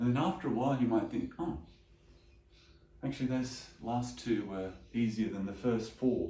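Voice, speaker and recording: Somewhat breathy and dark, mellow in tone, a man's voice shows ordinary pitch variation. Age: 60s. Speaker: chiropractor. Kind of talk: exercise instruction. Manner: calm, steady.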